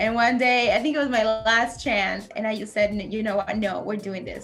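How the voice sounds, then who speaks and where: At a moderate pace, a woman with a Peruvian accent speaks at a fairly high pitch amid audible room echo. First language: Spanish. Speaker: naval officer. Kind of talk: interview. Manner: casual, conversational.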